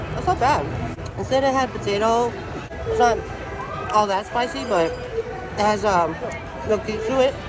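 Crowd noise fills the background as a man speaks in a dry recording with no echo. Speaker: food vlogger. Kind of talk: casual vlog chat, food review. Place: street. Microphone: phone near.

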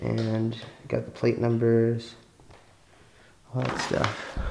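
The pace is fairly slow. Light background noise can be heard. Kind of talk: casual vlog commentary. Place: empty room. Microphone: phone near.

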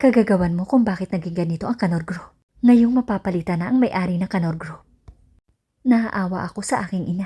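With a dark, mellow, somewhat breathy tone, a woman speaks at medium pitch and a fairly quick pace with ordinary pitch variation, on a very clean recording with a silent background. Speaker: storyteller narrator. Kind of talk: scripted narration.

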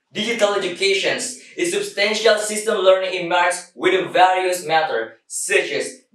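There is audible room echo as a man with a high pitch speaks at a moderate pace. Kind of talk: contest speech. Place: empty room.

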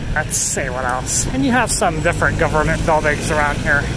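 Someone speaks at a fairly slow pace in a dry sound with no echo, over loud background noise. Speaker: walking tour vlogger. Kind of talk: casual vlog chat. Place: street. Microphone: phone near.

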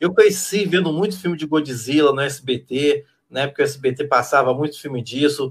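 The speaker sounds somewhat breathy, keeping a moderate pace and ordinary pitch variation over light background noise. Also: man, fairly high pitch for a man. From Brazil. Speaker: literature professor. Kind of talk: casual chat. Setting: video call. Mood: cheerful, nostalgic. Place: home room.

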